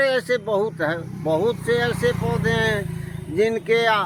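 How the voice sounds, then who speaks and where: This man's voice sounds dry and close, without any echo. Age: 60s. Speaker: retired teacher. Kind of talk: interview.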